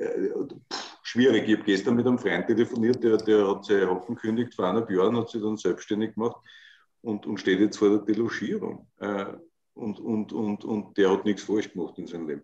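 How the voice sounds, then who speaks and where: Against a quiet background, a man talks at a fairly quick pace with fairly even intonation. His tone is dark and mellow, with a fairly low pitch. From Austria. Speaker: political commentator and show host; political commentator, show host. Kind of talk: casual political talk show chat. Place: home room. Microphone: video call.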